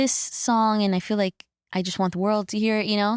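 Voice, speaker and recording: A woman's medium-pitched voice with a Spanish accent at a fairly quick pace, in a very clean recording with a silent background and a dry, close sound with no echo. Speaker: singer-songwriter. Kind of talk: podcast interview. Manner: casual, many fillers.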